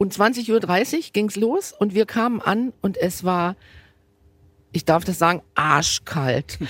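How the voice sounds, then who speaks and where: Lively intonation carries speech at a very slow pace, recorded with a dry, close sound and no echo. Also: woman, medium pitch for a woman. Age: 50s. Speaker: football fan, wheelchair user. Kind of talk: casual chat. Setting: stadium stands.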